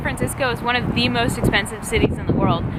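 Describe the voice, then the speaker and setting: Loud and at a very fast pace, a woman speaks amid noticeable background noise and audible room echo. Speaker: vlogger. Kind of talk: casual vlog talk to camera. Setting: outdoors by the sea. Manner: loud, speaking up over wind; animated.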